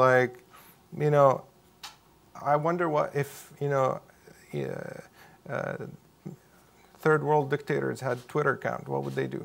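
A man with an Arabic accent talks at a fairly slow pace. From Syria. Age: 20s. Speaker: Syrian refugee, university student. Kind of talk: onstage interview conversation. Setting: event with live audience. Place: hall.

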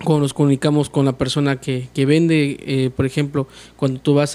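His voice sits fairly high in pitch for a man. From Mexico, Tuxtepec, Oaxaca; Oaxaca, Mexico. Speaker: oratory contest winner, medical student; interview guest. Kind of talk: interview. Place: studio. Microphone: studio mic.

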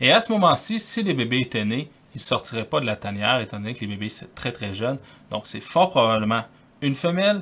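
The man's delivery moves along fairly quickly. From Quebec City, Canada; Quebec, Canada. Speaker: wildlife photographer. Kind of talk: tutorial. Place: home room.

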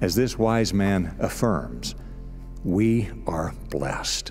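Faint music plays in the background. A man speaks at a very slow pace. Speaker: radio broadcast announcer and message writer. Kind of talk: radio spoken-word inspirational message.

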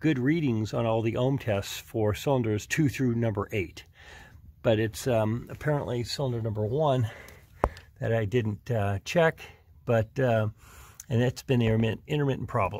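The voice moves at a moderate pace with ordinary pitch variation and very even loudness. The sound is dry, with no echo. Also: man. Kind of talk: casual repair tutorial. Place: garage. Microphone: phone near.

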